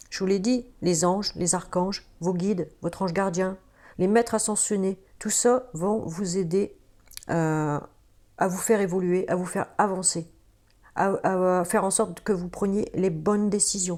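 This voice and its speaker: Against a silent background in a very clean recording, a woman speaks at a fairly slow pace with a medium pitch and a dark, mellow tone. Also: fairly even intonation. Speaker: tarot card reader. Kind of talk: tarot reading video, casual address to viewers. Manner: hesitant, many fillers and restarts.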